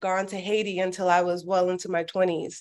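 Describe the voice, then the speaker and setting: A medium-pitched woman's voice with an American accent over a quiet background. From Miami, Florida, US. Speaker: former athlete and community organizer. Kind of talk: interview conversation.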